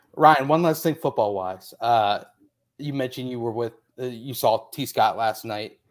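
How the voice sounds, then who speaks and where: A man talks at a moderate pace and medium pitch. He has an ordinary speaking voice with ordinary pitch variation. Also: very clean recording, silent background. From Indianapolis, US Midwest. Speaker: sports podcast host. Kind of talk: casual chat.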